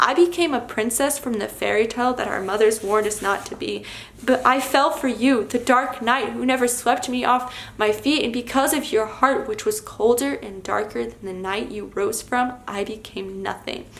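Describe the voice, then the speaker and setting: There is noticeable background noise as a woman talks at a moderate pace. Her voice is high-pitched, with ordinary pitch variation. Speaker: poet. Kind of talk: slam poetry performance.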